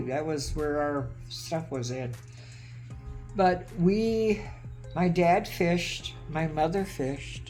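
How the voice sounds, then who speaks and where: Behind the woman's voice, music plays in the background. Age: 80s+. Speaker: homesteader. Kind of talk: interview answer.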